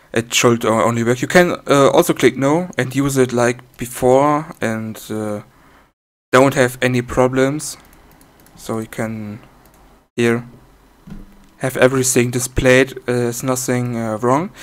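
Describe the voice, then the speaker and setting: Fairly slow speech with a non-native accent, fairly even intonation, and long, frequent pauses. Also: man, medium pitch for a man. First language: not English. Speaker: software developer demonstrating own program. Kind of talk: tutorial. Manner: halting, many fillers.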